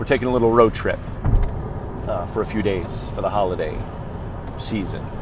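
A man speaks over noticeable background noise in a dry space with no echo. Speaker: funeral professional vlogger. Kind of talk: casual vlog chat. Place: car. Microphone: earbuds.

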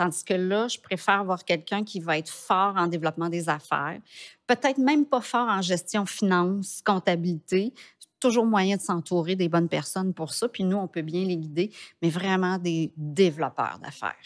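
A woman speaks at a moderate pace with medium pitch and ordinary pitch variation. The background is quiet. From Quebec. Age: 50s. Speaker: entrepreneur; podcast guest. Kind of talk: interview. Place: studio. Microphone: studio mic.

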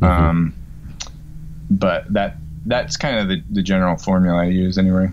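With an American accent and a very deep, low pitch, a man speaks at a moderate pace, using long, frequent pauses and ordinary pitch variation over light background noise. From Virginia. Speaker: land investor; guest. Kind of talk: casual interview. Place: home room. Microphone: webcam.

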